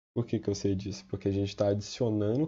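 The speaker is a man with a fairly low pitch. His voice is somewhat breathy. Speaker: student tutor. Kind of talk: tutorial. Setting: recorded video with slides. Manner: casual.

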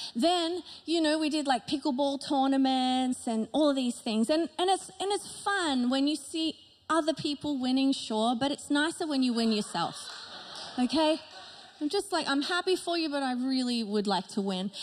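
A woman speaks at a moderate pace with a high pitch. Light background noise can be heard. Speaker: pastor. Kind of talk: sermon. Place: stage. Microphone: handheld.

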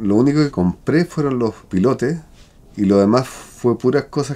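A man talks with a Chilean accent. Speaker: self-builder and craftsman; interviewee. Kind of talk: interview testimony. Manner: halting. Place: home room.

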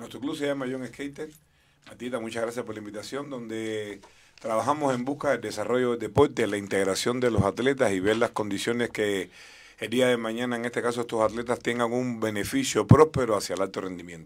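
Using a plain, everyday voice, a man talks at a fairly quick pace, at medium pitch, with fairly even intonation. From Cuba. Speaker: skating coach. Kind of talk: interview. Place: studio. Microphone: studio mic.

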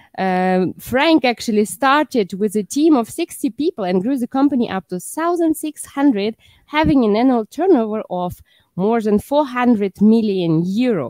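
A woman at a fairly slow pace with very wide pitch swings, a dry sound with no echo, and a quiet background. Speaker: show host. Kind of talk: host introduction. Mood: friendly, laughing. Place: studio. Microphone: headset.

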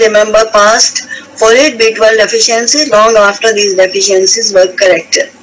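Over noticeable background noise, a woman with a fairly high-pitched voice speaks at a moderate pace. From India, Himalayan region. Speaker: hematopathology professor. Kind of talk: lecture.

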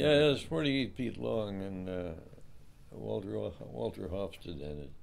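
A man talks at a moderate pace with a very deep, low pitch and very wide pitch swings. Audible room echo surrounds his voice. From Alaska. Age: 90s. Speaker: retired fisherman. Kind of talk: casual chat. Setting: living room. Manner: halting.

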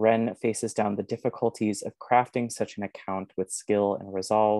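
A man speaks at a moderate pace in a fairly low, dark, mellow voice with flat, monotone intonation. The sound is dry with no echo, and the background is quiet. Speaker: event moderator. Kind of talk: scripted introduction. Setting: video call. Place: home room. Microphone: earbuds.

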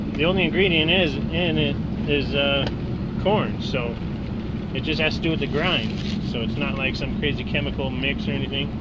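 Long, frequent pauses against loud background noise. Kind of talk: tutorial. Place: car. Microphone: phone near.

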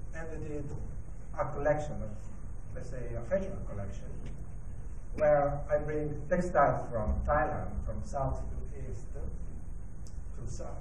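A man speaks at a very slow pace with long, frequent pauses. Audible room echo and light background noise are present. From Italy. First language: Italian. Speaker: designer and design lecturer. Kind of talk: presentation talk. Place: hall. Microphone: handheld.

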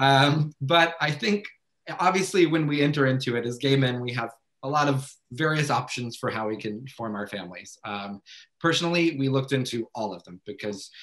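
Against a quiet background, a man with an American accent talks at a fairly quick pace. His pitch variation is ordinary. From US South. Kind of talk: personal story on a webinar panel. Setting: video call. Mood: warm, reflective. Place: home room. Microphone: video call.

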